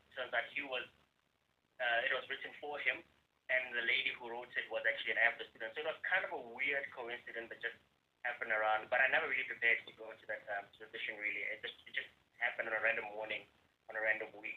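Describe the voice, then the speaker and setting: A man at medium pitch, very fast, with fairly even intonation and big swings in loudness. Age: 30s. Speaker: actor and video editor. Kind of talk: interview.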